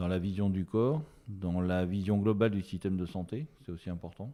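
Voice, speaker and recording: In a very clean recording with a silent background, a man talks at a fairly slow pace in a very deep, low pitch with a dark, mellow tone. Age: 60s. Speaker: osteopath. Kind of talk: interview. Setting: podcast interview. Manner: hesitant, many fillers.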